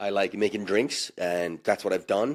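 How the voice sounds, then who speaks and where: A man talks at a moderate pace. He speaks with a South African accent. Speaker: bartender. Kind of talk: casual chat.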